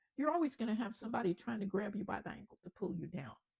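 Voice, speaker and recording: The pitch swings very widely, with vocal fry throughout. The sound is dry and close, with no echo. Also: woman. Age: 80s+. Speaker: storyteller. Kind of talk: motivational talk.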